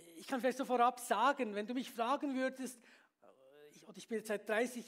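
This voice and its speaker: A man with an extremely high pitch. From Switzerland, Bern. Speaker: pastor. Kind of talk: sermon.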